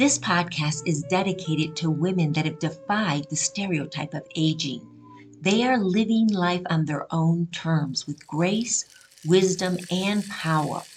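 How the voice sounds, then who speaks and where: With music in the background, a woman with a fairly low pitch and ordinary pitch variation speaks at a fairly slow pace with hardly any pauses. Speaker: podcast host. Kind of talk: podcast intro and interview questions.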